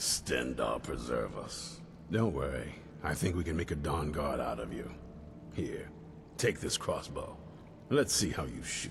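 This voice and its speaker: A man speaks in a put-on character voice at a moderate pace, with long, frequent pauses and clear background noise. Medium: video game. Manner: brusque, commanding.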